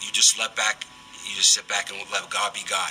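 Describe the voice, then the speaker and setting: With noticeable background noise behind him, a man with a slight Bronx accent speaks at a moderate pace. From New York, the Bronx. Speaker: prison ministry volunteer. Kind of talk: radio interview testimony. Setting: radio studio.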